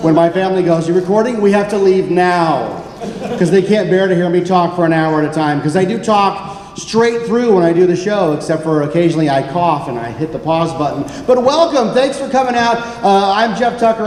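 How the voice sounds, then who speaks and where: Animated and high in pitch, a man talks at a fairly quick pace with ordinary pitch variation. Audible room echo and noticeable background noise come through. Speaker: podcast host. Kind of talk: live panel presentation. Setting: stage with audience at convention. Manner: fast.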